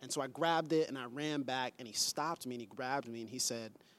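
A man with an American accent and a normal speaking voice, fairly even intonation, in a very clean recording with a silent background. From Pensacola, Florida. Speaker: pastor. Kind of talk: casual chat.

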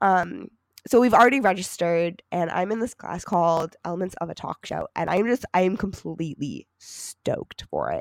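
A woman with an American accent, medium pitch, vocal fry, ordinary pitch variation and a moderate pace, in a dry, close sound with no echo on a very clean recording with a silent background. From Michigan, US. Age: 20s. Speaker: podcast co-host, college student. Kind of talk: casual chat.

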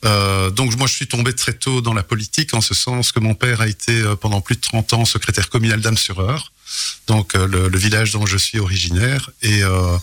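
A man with an unremarkable speaking voice, fairly low in pitch, moderate in pace, with ordinary pitch variation. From Belgium, Charleroi region (Hainaut). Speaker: mayor. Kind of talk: radio interview. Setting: radio studio.

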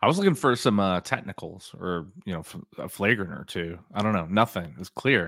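A man with a normal speaking voice talks at a fairly quick pace with hardly any pauses, his fairly low pitch carrying lively intonation and big swings in loudness. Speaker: podcast co-host. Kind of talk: casual chat. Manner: joking, teasing.

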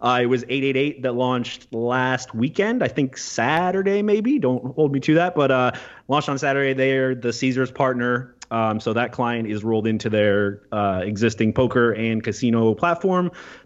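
An unremarkable speaking voice: a man at medium pitch, moderate pace, ordinary pitch variation. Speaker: podcast co-host. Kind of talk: casual chat.

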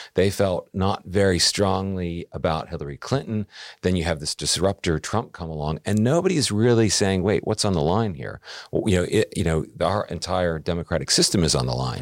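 A very deep, low-voiced man with an American accent, fairly quick and ordinary in pitch variation, in a dry, close sound with no echo on a very clean recording with a silent background. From US. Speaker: newspaper editor and podcast creator. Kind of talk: interview conversation.

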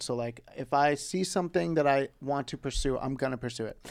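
The speaker is a man with a fairly high pitch. The recording is very clean, with a silent background. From US, Greek and Puerto Rican family. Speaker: actor and comedian. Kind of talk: casual chat.

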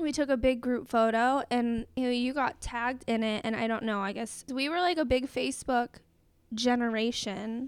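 The intonation stays fairly even at a moderate pace. The recording is very clean, with a silent background. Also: woman, high pitch for a woman. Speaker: podcast host. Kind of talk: casual chat. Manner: giggly.

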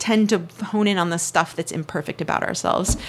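A woman with an American accent talks at a fairly quick pace. Her pitch variation is ordinary. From Northern California. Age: 50s. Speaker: artist and illustrator. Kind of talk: interview.

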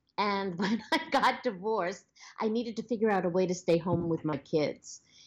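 A woman with a Long Island accent, a moderate pace and ordinary pitch variation. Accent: Long Island New York. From Long Island, New York. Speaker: social media professional and former actress. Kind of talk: casual interview. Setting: phone call.

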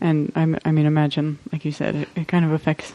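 Someone talks at a fairly quick pace in a Southwestern US accent. The sound is dry and close with no echo, though noticeable background noise is present. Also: woman. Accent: US Southwest American. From Arizona, US. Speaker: podcast host. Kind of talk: casual interview chat. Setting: home kitchen.

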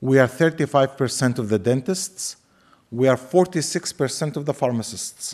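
A man with an Arabic accent, medium-pitched, with ordinary pitch variation at a moderate pace. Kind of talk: lecture. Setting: lecture hall with audience.

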